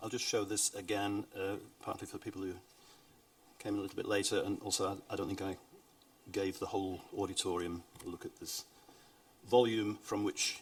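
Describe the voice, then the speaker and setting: A man speaks at a moderate speed with clearly noticeable background noise. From Britain. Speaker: event moderator. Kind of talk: event moderation in English.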